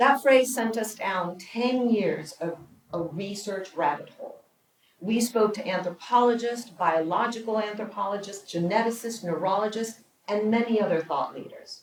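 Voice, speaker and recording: A woman's normal speaking voice, fairly high in pitch, with ordinary pitch variation and big swings in loudness. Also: moderate pace. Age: 60s. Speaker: documentary producer and speaker. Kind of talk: prepared public speech.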